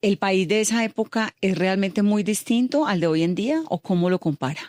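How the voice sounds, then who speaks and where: A woman's plain, everyday voice at medium pitch and moderate pace, lively in intonation and very even in loudness, dry and close with no echo, on a very clean recording with a silent background. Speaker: radio interviewer. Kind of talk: interview questions.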